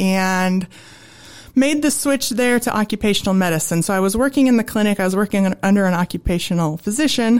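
A woman speaks at a fairly quick pace in an American accent, her medium pitch showing ordinary variation. The recording is very clean, with a silent background. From Nebraska, US. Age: young. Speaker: ergonomist and safety consultant. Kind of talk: interview.

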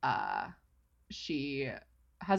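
Vocal fry runs through speech that has ordinary pitch variation. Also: woman. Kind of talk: casual chat. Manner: snarky, joking.

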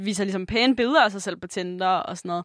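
Over a quiet background, a woman with a normal speaking voice talks at a fairly quick pace and medium pitch with ordinary pitch variation. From Jutland, Denmark. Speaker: podcast co-host. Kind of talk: casual chat.

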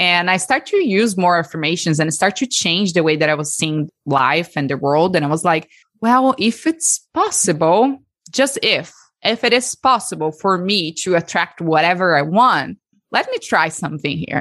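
Against a quiet background, a woman with a Brazilian accent talks at a moderate pace and fairly low pitch with lively intonation. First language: Portuguese. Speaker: breathwork facilitator. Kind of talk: interview and guided breathwork session.

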